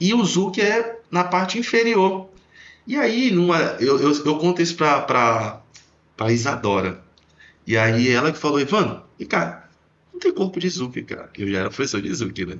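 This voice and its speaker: A man's fairly high voice with very wide pitch swings, a moderate pace and long, frequent pauses. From Belém do Pará, northern Brazil. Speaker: dance teacher. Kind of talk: casual podcast conversation.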